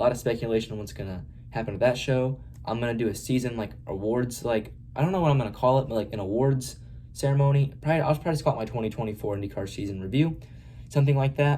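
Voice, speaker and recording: A man's dark, mellow, somewhat breathy voice at medium pitch, very fast pace and ordinary pitch variation. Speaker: motorsport YouTuber. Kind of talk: unscripted race review monologue. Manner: hesitant, many fillers.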